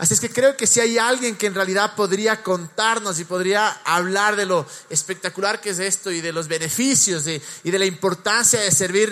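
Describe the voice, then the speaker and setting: Over noticeable background noise, a man with a high pitch projects a raised voice at a moderate pace, with ordinary pitch variation. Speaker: pastor. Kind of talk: church service interview; sermon.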